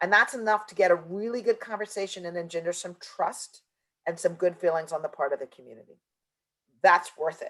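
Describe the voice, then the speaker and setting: This is a woman speaking. Her pitch is medium. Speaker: environmental justice consultant. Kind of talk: webinar presentation. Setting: virtual conference. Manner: fast.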